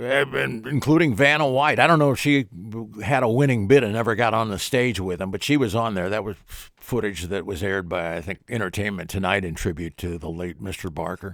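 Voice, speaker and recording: A man's normal speaking voice, fairly low in pitch and fairly quick, in a very clean recording with a silent background. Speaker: talk show host. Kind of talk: casual talk radio style commentary.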